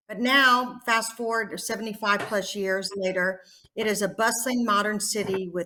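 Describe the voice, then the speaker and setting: Fairly high for a woman, her voice has a bright, sharp tone. She speaks at a moderate pace with fairly even intonation. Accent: Texas. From Texas. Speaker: nurse practitioner educator. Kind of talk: conference presentation.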